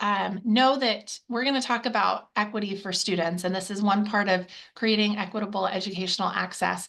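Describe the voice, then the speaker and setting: A woman speaks at a medium pitch with ordinary variation in it, against a quiet background. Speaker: webinar presenter. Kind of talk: webinar presentation. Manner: fast.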